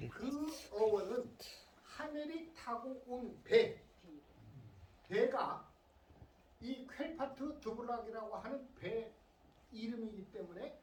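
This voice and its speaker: A woman's speech with big swings in loudness, long, frequent pauses and audible room echo. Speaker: entomologist giving a public lecture. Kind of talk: lecture. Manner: speeding up.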